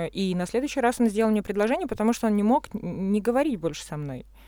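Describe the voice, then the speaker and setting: A woman with a normal speaking voice at a medium pitch. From Russia. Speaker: architect and artist. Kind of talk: casual chat.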